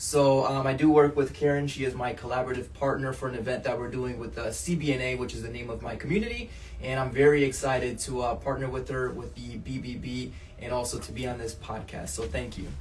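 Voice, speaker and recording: With an American accent, someone talks at a very fast pace amid noticeable background noise and audible room echo. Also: man. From Portugal, raised in US from childhood. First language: Portuguese. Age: 30s. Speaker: entrepreneur. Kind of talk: podcast interview. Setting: office.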